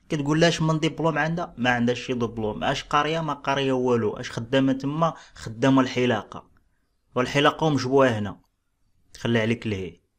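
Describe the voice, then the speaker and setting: A man with a Moroccan accent at a moderate pace, against a quiet background. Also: medium pitch for a man, ordinary pitch variation. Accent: Moroccan Darija. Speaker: relationship commentary YouTuber. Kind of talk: casual reaction commentary.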